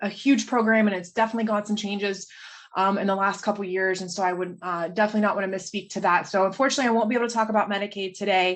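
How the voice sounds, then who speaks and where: A woman at a medium pitch, very fast pace, with fairly even intonation. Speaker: state agency policy presenter. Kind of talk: presentation. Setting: video call.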